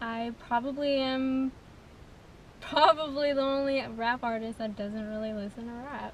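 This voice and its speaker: A soft-spoken woman with an American accent talks at a fairly slow pace in a high voice, her intonation fairly even but her loudness swinging widely, over noticeable background noise. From California, Gilroy. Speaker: rapper. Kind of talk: interview. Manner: quiet.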